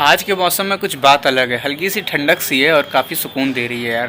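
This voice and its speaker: Noticeable background noise sits under a man's voice. He speaks at a moderate pace with ordinary pitch variation. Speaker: vlogger. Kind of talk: casual vlog talk. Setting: at home.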